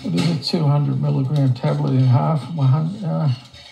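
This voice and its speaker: A man at a medium pitch with very wide pitch swings, over noticeable background noise. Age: 60s. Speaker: palliative patient. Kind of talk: casual chat. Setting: at home. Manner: halting, repeats words.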